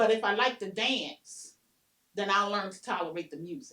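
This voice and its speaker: In a normal speaking voice, a woman talks at a fairly quick pace with a medium pitch. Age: 60s. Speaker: soul line dancer. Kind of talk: oral history interview. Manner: casual, conversational.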